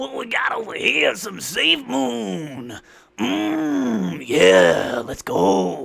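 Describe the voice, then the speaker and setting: A raspy, put-on character voice from a man. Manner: soft, relaxing, sleepy-making.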